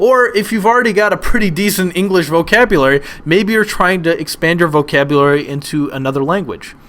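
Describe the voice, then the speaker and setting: Speaking at a moderate pace, a man with an American accent uses lively intonation. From United States. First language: Polish. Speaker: online teacher. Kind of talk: webinar lecture. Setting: webinar. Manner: hesitant, many fillers and repetitions.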